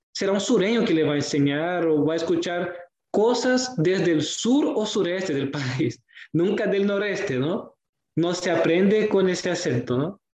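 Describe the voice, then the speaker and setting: In a Portuguese accent, a man speaks at a moderate pace with lively intonation. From Brazil. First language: Portuguese (speaking Spanish). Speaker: student. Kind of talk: casual discussion. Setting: virtual recording. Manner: halting.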